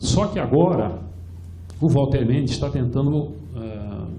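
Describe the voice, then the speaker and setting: Here a man speaks at a medium pitch with lively intonation. Audible room echo surrounds his voice. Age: 70s. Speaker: retired pension fund participant and activist speaker. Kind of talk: conference talk. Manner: halting, many repetitions.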